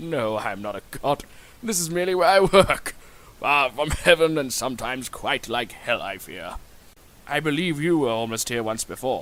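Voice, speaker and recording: Using a put-on character voice, a man pitches his speech fairly high. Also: moderate pace. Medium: audio drama. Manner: courteous, measured.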